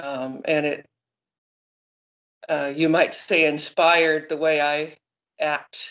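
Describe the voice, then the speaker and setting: Against a quiet background, a woman with an American accent speaks very slowly with long, frequent pauses, her pitch very deep and low and her intonation monotone and flat. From Seattle, Washington. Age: 60s. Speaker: retired teacher. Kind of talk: interview answer. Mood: reflective, earnest. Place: kitchen. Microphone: phone near.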